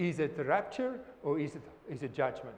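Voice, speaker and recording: Fairly high in pitch, a man's voice comes across somewhat breathy. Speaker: pastor or bible teacher. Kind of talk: bible study teaching. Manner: halting, repetitive.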